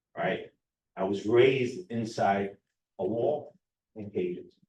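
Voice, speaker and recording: Speaking with a New York accent, a man has a medium pitch and a dark, mellow, somewhat breathy tone. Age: 50s. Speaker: recovery coach director. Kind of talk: personal testimony speech. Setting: public forum with audience. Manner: animated, conversational.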